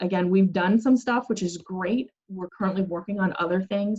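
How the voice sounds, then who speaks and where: A woman speaks at a medium pitch in a somewhat breathy voice, with a dry, close sound and no echo. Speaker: city planning staff presenter. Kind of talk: public meeting presentation.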